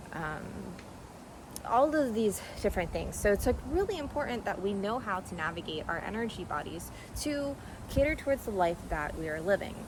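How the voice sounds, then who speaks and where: A woman with a fairly high pitch talks at a fairly quick pace, her pitch swinging very widely between long, frequent pauses, with audible room echo and noticeable background noise. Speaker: energy healer and yoga practitioner. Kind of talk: casual monologue. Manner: fast.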